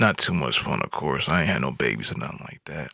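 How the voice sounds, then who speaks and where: A man's tone is relaxed yet bright and sharp, edged with vocal fry. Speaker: podcast host. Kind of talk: solo monologue about his life. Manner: relaxed conversational.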